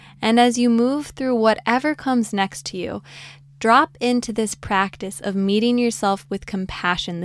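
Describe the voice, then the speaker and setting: Ordinary pitch variation in an ordinary speaking voice. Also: woman. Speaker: podcast host and meditation guide. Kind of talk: guided meditation; casual, playful podcast intro with puns. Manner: slow, soothing, calm; gentle, warm, reassuring.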